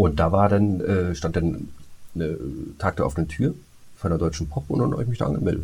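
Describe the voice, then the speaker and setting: A man speaks at a moderate pace with long, frequent pauses. His very deep, low pitch shows ordinary variation, and his tone is dark, mellow and somewhat breathy. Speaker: podcast co-host, voice actor. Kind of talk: casual chat.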